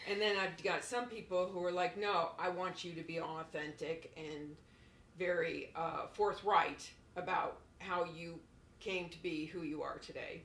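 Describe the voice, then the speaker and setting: Loudness rising and falling sharply, with an American accent and audible room echo. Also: woman, fairly low pitch for a woman, fairly slow pace. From Florida. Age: 60s. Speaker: former model. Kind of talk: podcast interview. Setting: apartment.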